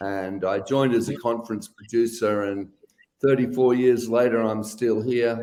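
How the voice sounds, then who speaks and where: A man speaks at a medium pitch with a dark, mellow tone and fairly even intonation. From Western Australia. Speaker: events company CEO. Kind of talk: interview conversation.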